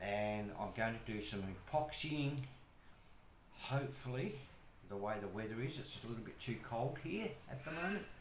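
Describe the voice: A man with a medium pitch talks at a moderate pace with lively intonation, and the room echo is audible.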